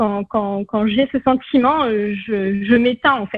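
A woman's fairly high voice at a very slow pace. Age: 40s. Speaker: naturopath. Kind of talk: interview.

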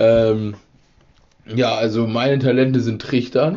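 This man's voice sits at a medium pitch. The intonation is fairly even. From rural Germany. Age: 20s. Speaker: podcast host. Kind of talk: casual chat. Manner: laughing.

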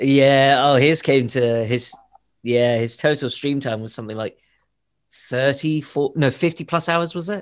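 Here is a man with an ordinary speaking voice. His pitch is fairly high and its variation is ordinary. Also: fairly slow pace. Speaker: podcast co-host. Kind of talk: casual chat. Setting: video call.

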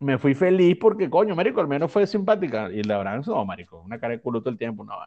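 A man's fairly high-pitched, dark, mellow tone at a very fast pace, with very wide pitch swings and big swings in loudness. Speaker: podcast co-host. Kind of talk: casual chat.

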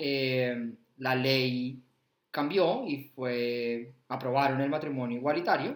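The speaker is a man at medium pitch. He has an unremarkable speaking voice. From Colombia, Bogotá. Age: 30s. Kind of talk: casual interview chat.

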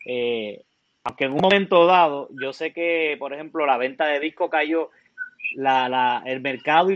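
A man's normal speaking voice at a fairly quick pace, with ordinary pitch variation. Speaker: music school host. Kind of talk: interview.

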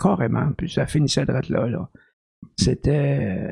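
Recorded dry and close with no echo, a man with a fairly high pitch, a dark, mellow tone and vocal fry speaks with ordinary pitch variation. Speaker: podcast co-host. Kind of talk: casual chat.

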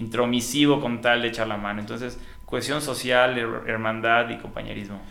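Against noticeable background noise and audible room echo, a man speaks at a moderate pace in a medium pitch with fairly even intonation. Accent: Yucatecan. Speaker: energy official. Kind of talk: casual interview.

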